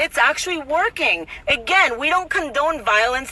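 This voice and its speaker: A woman with a Spanish accent uses a raised, projected voice at a high pitch with very wide pitch swings, over noticeable background noise. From Mexico City. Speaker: political commentator. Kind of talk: casual vlog commentary. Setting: outdoors in Tijuana, neighbor present. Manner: animated, repetitive and emphatic.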